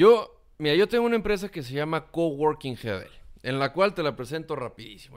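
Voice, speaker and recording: A man with a Mexican accent, fairly high-pitched, speaking at a fairly quick pace with lively intonation against a quiet background. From Mexico. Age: 30s. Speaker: communication consultant and content creator; content creator. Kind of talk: interview. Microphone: studio mic.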